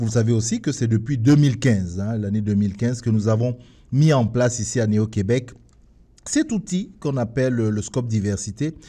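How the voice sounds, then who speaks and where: A man's medium-pitched voice has a dark, mellow tone, is somewhat breathy, and moves at a moderate pace with ordinary pitch variation. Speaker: radio host. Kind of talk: radio show opening monologue. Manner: halting.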